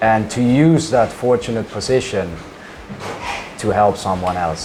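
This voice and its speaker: A man with a Dutch accent speaks at a moderate pace and fairly low pitch, with audible room echo and noticeable background noise. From Netherlands. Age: 20s. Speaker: charity founder and restaurateur. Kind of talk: interview.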